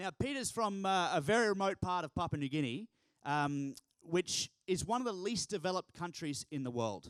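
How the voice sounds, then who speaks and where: A man with a high pitch, an animated tone, and an Australian accent. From Australia, Townsville, north Queensland. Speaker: keynote speaker, youth organisation founder. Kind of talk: keynote speech. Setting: stage with audience.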